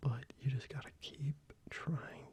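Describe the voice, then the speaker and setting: A man whispering at a fairly slow pace amid noticeable background noise. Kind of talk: ASMR soft-spoken ramble. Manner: soft-spoken, rambling, casual.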